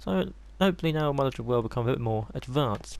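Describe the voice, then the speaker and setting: A man with an English accent. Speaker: gaming youtuber. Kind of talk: gameplay commentary. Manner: soft-spoken; casual, hesitant with ums.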